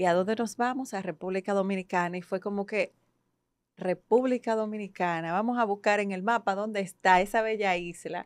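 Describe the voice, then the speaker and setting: The sound is dry and close with no echo, against a quiet background. A woman speaks at a moderate pace and medium pitch, with fairly even intonation. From Ecuador, Guayaquil (moved to Dominican Republic at 12). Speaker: psychologist and coach. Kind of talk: podcast interview.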